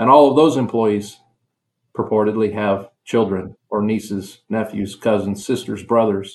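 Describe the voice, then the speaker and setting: Using a normal speaking voice, a man with an American accent speaks slowly-ish at a fairly slow pace, fairly low in pitch, with fairly even intonation. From US Midwest (western Nebraska). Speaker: university concrete program director. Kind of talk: interview. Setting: remote call.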